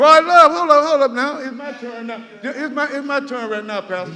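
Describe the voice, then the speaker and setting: A man's raised, projected voice with an American accent, ordinary pitch variation and audible room echo. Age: 60s. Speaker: resident speaking at public meeting. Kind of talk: public comment at town hall. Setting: community center meeting hall. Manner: animated.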